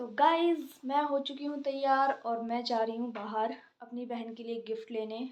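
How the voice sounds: At a moderate pace, a woman speaks with a fairly high pitch, a slightly mellow tone and fairly even intonation.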